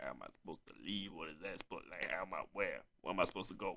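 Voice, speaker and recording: Using a put-on character voice with a fairly low pitch, a man speaks at a very fast pace. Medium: actual play. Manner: rambling, grumbling.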